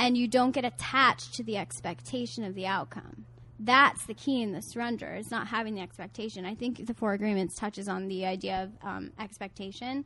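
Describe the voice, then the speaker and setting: At a fairly quick pace with hardly any pauses, a woman speaks in a medium pitch with vocal fry. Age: 20s. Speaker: relationship coach. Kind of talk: casual chat. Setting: outdoors.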